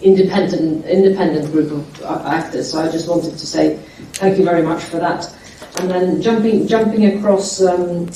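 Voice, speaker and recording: A woman with a fairly low voice speaks at a moderate pace and with fairly even intonation. Room echo is audible, and background noise is noticeable. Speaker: soft power group representative on panel. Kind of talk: panel discussion. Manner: loud.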